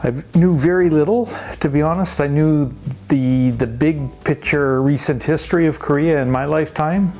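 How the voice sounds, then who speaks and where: Over music in the background, a man with a Canadian accent speaks at a fairly high pitch, with ordinary pitch variation and very even loudness. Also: moderate pace. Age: 70s. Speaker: interviewee, retired traveler. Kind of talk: casual interview.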